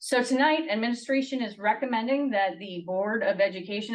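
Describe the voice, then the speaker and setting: A woman talks with lively intonation. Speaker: school district finance administrator. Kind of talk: presentation at board meeting. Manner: fast.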